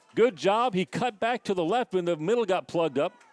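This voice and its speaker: A high-pitched man speaking at a moderate pace with ordinary pitch variation, over noticeable background noise. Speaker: sports play-by-play announcer. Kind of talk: live commentary. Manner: animated.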